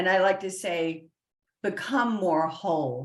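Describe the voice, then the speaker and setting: This woman's voice sits at a fairly low pitch. She talks at a very slow pace. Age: 50s. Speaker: spiritual consultant and past life mentor. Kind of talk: interview. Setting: live stream.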